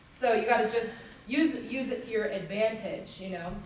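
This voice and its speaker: Noticeable background noise and audible room echo surround the voice. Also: woman. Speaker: country singer and band leader teaching a vocal workshop. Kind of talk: music workshop teaching. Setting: workshop at a music festival with audience. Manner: animated.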